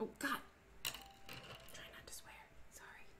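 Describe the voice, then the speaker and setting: A woman whispers over noticeable background noise, with audible echo in the room. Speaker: leather crafter streamer. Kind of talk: live stream crafting chat. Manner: mumbly when focused.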